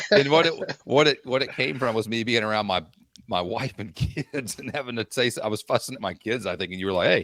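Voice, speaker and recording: Speaking at a very fast pace with lively intonation, a man comes through with a dry, close sound and no echo. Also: medium pitch for a man. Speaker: podcast co-host. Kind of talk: casual chat.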